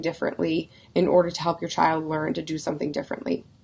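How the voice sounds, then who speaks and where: A woman speaks very fast with vocal fry. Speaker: parenting coach. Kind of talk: live stream talk. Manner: casual, with frequent fillers.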